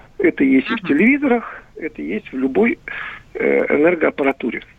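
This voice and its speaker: A man's high voice with very wide pitch swings at a moderate pace, over noticeable background noise. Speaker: electrical expert. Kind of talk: expert interview. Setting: phone call. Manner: halting.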